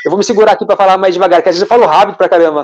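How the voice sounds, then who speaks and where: Here a man speaks with a high pitch. His delivery is very fast. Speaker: spiritual channeler. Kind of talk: live stream Q&A talk. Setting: online live stream. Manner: hesitant, repeats words.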